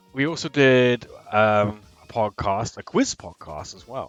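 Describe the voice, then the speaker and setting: Music plays in the background as a man with an American accent speaks with lively intonation in a dry, close sound with no echo. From England. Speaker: gaming streamer. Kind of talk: live gaming stream chat. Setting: live stream. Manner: casual, with frequent hesitations.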